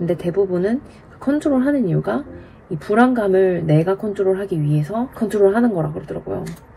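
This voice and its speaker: Noticeable background noise sits behind a woman talking at a fairly quick pace. Her intonation is lively, and her loudness shifts in big swings. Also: medium pitch for a woman. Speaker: vlogger sharing her divorce. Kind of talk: casual vlog monologue. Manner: direct.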